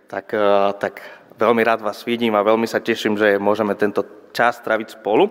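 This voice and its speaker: A man speaks with a Spanish accent at a moderate pace, pitched fairly low. His intonation is monotone and flat, with long, frequent pauses. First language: Spanish (speaking Slovak). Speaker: pastor. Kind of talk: sermon. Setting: church.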